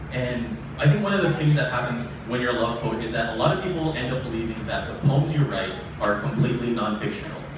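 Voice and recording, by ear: Speaking fast with few pauses, a man uses medium pitch and lively intonation over clear background noise.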